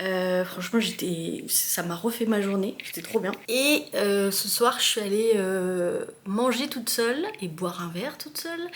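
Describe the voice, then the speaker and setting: A woman at medium pitch talks with hardly any pauses. Audible room echo and noticeable background noise surround her. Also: fairly slow pace. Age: 30s. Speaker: vlogger. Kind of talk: casual vlog talk to camera. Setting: bathroom of rented flat. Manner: casual, hesitant with many fillers.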